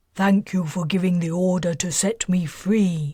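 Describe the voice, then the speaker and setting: Using a put-on character voice, a woman speaks with a rumbling sound at medium pitch, fairly even intonation and a moderate pace. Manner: sincere, grateful.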